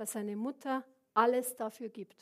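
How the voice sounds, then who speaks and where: With fairly even intonation, a woman talks in a high voice. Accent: Bavarian. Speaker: preacher. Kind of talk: sermon.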